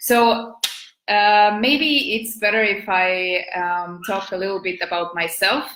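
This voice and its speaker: A woman with an Estonian accent, fairly slow pace and fairly even intonation. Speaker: business and marketing coach. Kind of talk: live video talk. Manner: halting, many fillers.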